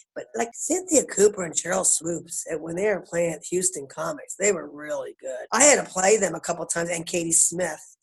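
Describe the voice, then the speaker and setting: A woman talks at a fairly quick pace with hardly any pauses and big swings in loudness. Her pitch is fairly low with ordinary variation, and her tone is animated. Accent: Philadelphia. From Philadelphia, US. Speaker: basketball coach, former pro player. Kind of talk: casual interview.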